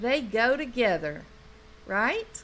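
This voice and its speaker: A woman with a strong Southern accent speaks at a high pitch. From North Louisiana, US South. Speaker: true crime commentator. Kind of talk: live stream commentary. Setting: live stream. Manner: animated.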